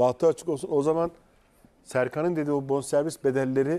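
This man has a dark, mellow tone and a fairly high pitch. He speaks at a fairly quick pace. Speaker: football pundit. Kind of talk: casual chat. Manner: animated. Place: studio. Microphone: lapel.

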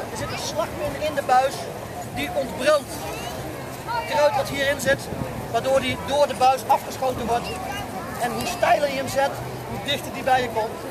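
A moderate pace broken by long, frequent pauses, over loud background noise. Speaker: weapons demonstrator presenting WWII weapons. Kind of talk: live demonstration commentary to a crowd. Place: open country.

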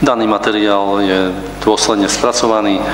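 A man's fairly even intonation amid audible room echo and light background noise. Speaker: mayor chairing council meeting. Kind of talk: formal council meeting proceedings. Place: meeting room. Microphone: podium.

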